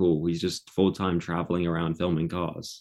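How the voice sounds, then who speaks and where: In a very clean recording with a silent background, a man speaks at a very deep, low pitch with a southern English accent. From England. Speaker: content creator. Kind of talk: interview conversation.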